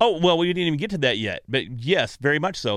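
A man with an American accent, lively intonation and a fairly quick pace. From North Texas, Grayson County. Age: 40s. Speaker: podcast magazine editor. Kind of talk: casual interview chat. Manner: fast.

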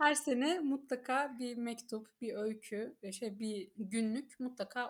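A woman with a plain, everyday voice talks in a fairly high pitch with ordinary pitch variation. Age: 30s. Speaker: book reader guest, HR manager. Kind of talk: casual chat.

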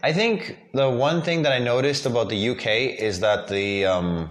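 A man at medium pitch and moderate pace, with lively intonation, very even loudness and hardly any pauses, over noticeable background noise. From South Africa, Cape Town. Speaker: graduate student. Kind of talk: casual chat. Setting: in a kitchen at a house in Taichung.

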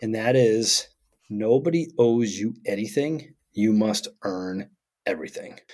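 A man with an American accent talks at a fairly slow pace and a medium pitch. His intonation is lively. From Vermont, US. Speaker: podcast co-host. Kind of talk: casual podcast conversation. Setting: remote recording. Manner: extroverted, upbeat.

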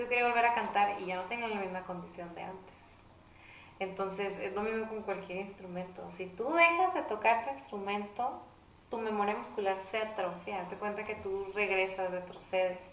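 The speech goes at a moderate pace with ordinary pitch variation. Noticeable background noise runs underneath. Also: woman, medium pitch for a woman. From Mexico, Saltillo. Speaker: singer-songwriter. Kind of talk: casual interview chat.

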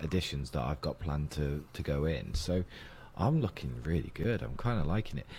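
A man with a British accent speaks at a fairly quick pace, his tone dark and mellow. His pitch swings very widely, and vocal fry comes through. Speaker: investing podcast host. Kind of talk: casual chat.

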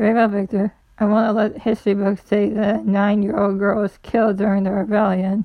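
A passage read aloud in a natural voice.

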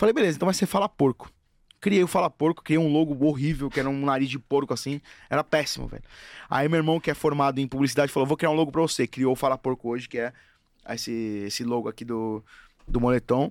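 A man's fairly high-pitched voice at a very fast pace, broken by long, frequent pauses, with a dry, close sound and no echo. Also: ordinary pitch variation, very clean recording, silent background. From Brazil, Guarulhos (São Paulo). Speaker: football fan influencer. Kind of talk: casual chat. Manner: animated.

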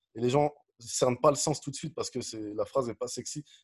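A man speaks at a very fast pace. His voice is somewhat breathy, in a dry, close sound with no echo. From France, Dijon (Burgundy). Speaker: business coach. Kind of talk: interview conversation. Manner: energetic, animated; direct, blunt.

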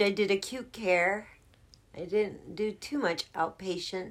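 A woman talks at a fairly slow pace in a normal speaking voice. Her pitch sits at a medium level. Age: 50s. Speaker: co-host godmother. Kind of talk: casual chat.

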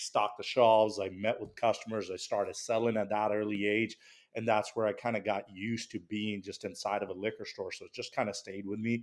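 A man with a fairly low voice speaks in an American accent at a fairly quick pace. His intonation is monotone and flat, while his loudness swings widely. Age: 30s. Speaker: liquor store owner. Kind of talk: casual chat.

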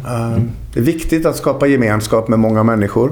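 At a moderate pace, the voice has lively intonation and audible room echo. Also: man. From Sweden, Dalarna (Falun). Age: 50s. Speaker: lecturer and entrepreneur. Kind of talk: casual interview.

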